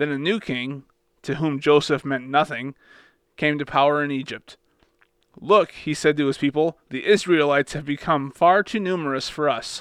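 A man with a plain, everyday voice talks at a fairly high pitch and a moderate pace, with ordinary pitch variation. The sound is dry and close, with no echo. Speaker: Bible discussion panelist. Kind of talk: casual discussion with scripture reading.

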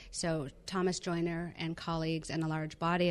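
Against a quiet background, a woman with an ordinary speaking voice talks at a moderate pace and a fairly low pitch. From Canada, Vancouver Island, British Columbia. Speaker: professor. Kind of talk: interview.

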